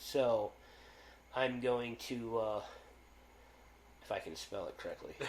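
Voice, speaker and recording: At a fairly slow pace, a man talks with long, frequent pauses. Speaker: podcast host. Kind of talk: casual chat. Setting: live stream. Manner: halting.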